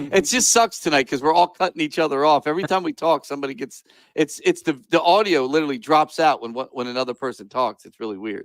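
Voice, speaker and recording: Speech comes very fast with hardly any pauses, lively intonation and big swings in loudness. The sound is dry and close, with no echo. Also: man, fairly high pitch for a man. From US North. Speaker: live show host, army veteran. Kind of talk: casual chat. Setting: video call. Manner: halting, repetitive.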